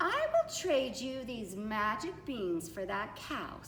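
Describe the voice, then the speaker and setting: Over clear background noise and a slight echo, a female-sounding put-on character voice speaks at a high pitch and a fairly slow pace. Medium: read story.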